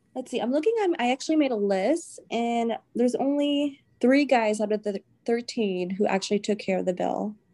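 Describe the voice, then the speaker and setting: Her pitch is fairly high and her intonation lively. This woman speaks at a moderate pace with a dark, mellow tone. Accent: American. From US South. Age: young. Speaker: guest sharing dating experiences. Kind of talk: casual chat.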